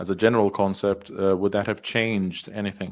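Recorded very cleanly on a silent background, a man with a Danish accent speaks at a moderate pace. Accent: Danish-sounding. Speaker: debate moderator. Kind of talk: moderating debate.

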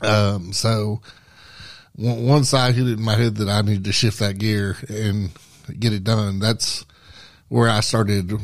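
A man speaks in a fairly low, flat monotone at a fairly slow pace, with long, frequent pauses, on a very clean recording with a silent background. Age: 40s. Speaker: professional wrestler. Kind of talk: casual chat. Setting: studio.

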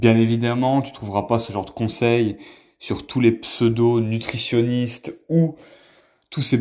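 A man's dark, mellow, medium-pitched voice at a fairly slow pace, with fairly even intonation and a very clean recording over a silent background. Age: 30s. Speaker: wellness content creator. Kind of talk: casual monologue to camera. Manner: hesitant, with fillers.

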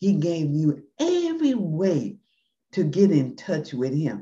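A woman speaks at a very slow pace in a fairly low, dark, mellow tone. Her voice is somewhat breathy. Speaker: podcast host. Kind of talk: podcast hosting, closing prayer.

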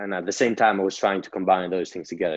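A man speaks with a Greek accent at a very deep, low pitch. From Greece. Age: 20s. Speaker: entrepreneur. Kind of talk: interview storytelling.

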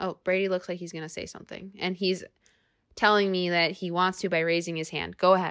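A woman's voice of medium pitch over a quiet background. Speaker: podcast host. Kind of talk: casual chat. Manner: soft-spoken.

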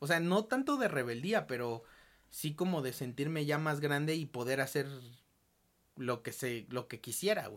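In a Mexican accent, a man speaks at a fairly slow pace with a fairly high pitch and ordinary pitch variation. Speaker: podcast host. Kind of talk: casual chat.

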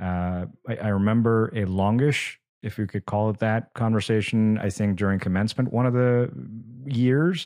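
Against a quiet background, a man speaks at a moderate pace with fairly low pitch and ordinary pitch variation. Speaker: podcast host. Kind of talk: interview conversation. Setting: video call.

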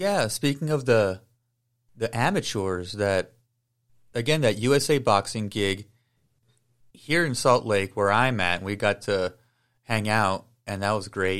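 A man speaks at a fairly slow pace, breaking often into long pauses. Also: ordinary pitch variation. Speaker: podcast host. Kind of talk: interview conversation. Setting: video call.

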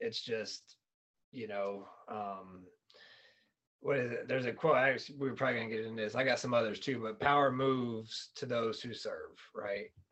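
A man with a normal speaking voice talks at a medium pitch and moderate pace, his intonation fairly even. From North Carolina (Fayetteville). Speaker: real estate investor and flooring salesman. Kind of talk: casual interview.

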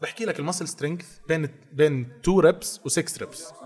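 Speaking with an ordinary speaking voice, a man at a fairly high pitch shows ordinary pitch variation. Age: 20s. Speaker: fitness influencer and personal trainer. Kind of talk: casual chat.

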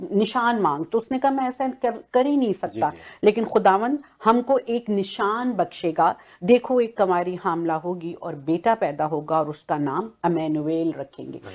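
A woman speaks at a medium pitch with very wide pitch swings and hardly any pauses. The recording is very clean, with a silent background. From Pakistan, Punjab (Okara). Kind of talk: religious panel discussion.

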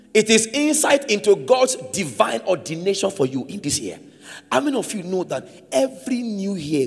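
A man speaks at a moderate pace in a high, animated voice, with very wide pitch swings and big swings in loudness. Noticeable noise runs in the background. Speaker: preacher. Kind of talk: sermon. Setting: church with congregation. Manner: call-and-response.

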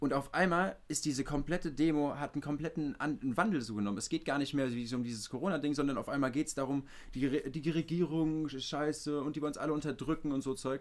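A man talks very fast in a fairly high voice, with hardly any pauses. His pitch varies in an ordinary way. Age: 20s. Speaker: podcast host. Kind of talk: casual chat. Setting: remote recording from home studio.

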